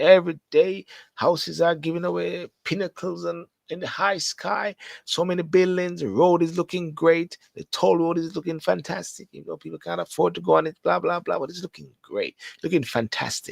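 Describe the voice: Recorded dry and close with no echo, a man speaks at a fairly high pitch with vocal fry. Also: ordinary pitch variation, moderate pace.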